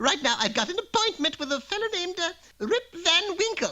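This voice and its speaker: A cartoonish character voice. It moves at a moderate pace. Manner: chatty, folksy, forgetful.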